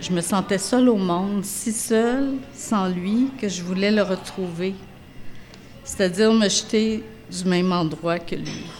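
A woman at medium pitch and a very slow pace, with ordinary pitch variation, long, frequent pauses and noticeable background noise. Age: 60s. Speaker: narrator. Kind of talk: reading aloud.

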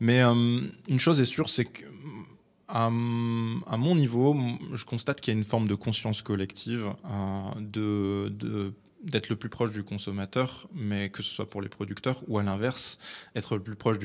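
A man's plain, everyday voice, fairly low in pitch, with ordinary pitch variation and a fairly slow pace. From northern France, Lille. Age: 30s. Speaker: craft brewer. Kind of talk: interview.

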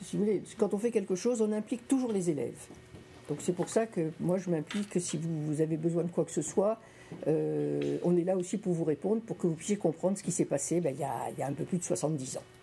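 Vocal fry runs through the voice, and the pitch moves with ordinary variation. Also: woman, fairly low pitch for a woman. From France, Nice area. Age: 70s. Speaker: association president. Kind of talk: talk to school students. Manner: halting.

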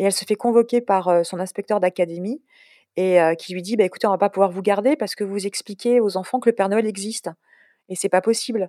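A woman speaks at medium pitch and a moderate pace. Her tone is dark and mellow, with fairly even intonation. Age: 40s. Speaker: content producer and trainer. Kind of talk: casual chat.

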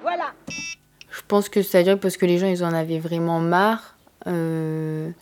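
With noticeable background noise behind her, a woman talks fairly slowly. Her pitch is fairly low and her intonation fairly even. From northern France, Picardy (Abbeville). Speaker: activist. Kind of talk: interview testimony.

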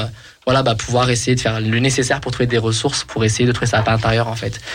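With audible room echo, a man speaks at a medium pitch in monotone, flat intonation. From France, of Algerian descent. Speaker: author and singer. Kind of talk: testimony.

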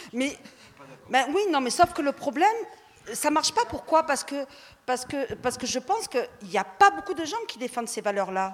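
Long, frequent pauses against noticeable background noise. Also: moderate pace. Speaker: audience member. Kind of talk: audience question. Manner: halting, struggling to express.

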